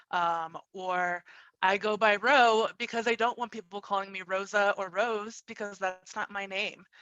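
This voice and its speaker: Bright, sharp tone at a fairly slow pace with fairly even intonation, dry, close sound with no echo, and a quiet background. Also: woman, medium pitch for a woman. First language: Spanish. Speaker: tech professional. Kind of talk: panel discussion.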